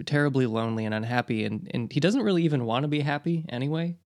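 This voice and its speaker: On a very clean recording with a silent background, an unremarkable speaking voice moves at a fairly quick pace with ordinary pitch variation. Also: man. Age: 20s. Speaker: podcast host. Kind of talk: interview. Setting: call.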